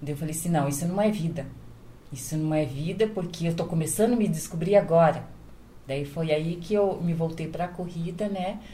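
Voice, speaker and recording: The voice moves at a moderate pace with ordinary pitch variation, and audible room echo fills the recording. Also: woman. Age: 50s. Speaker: domestic worker and caregiver. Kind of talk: casual chat.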